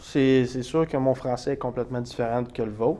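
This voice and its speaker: This man speaks with a Quebec accent at a moderate pace. His tone is dark and mellow. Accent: Québécois. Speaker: college athlete. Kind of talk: interview.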